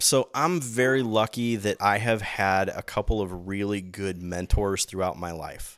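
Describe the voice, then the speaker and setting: In a very clean recording with a silent background, a man with an American accent and a plain, everyday voice speaks at a fairly low pitch and a moderate pace, with ordinary pitch variation. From US Midwest, Granite City, Illinois (St. Louis area). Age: 40s. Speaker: MMA commentator and whiskey business owner. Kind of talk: casual chat.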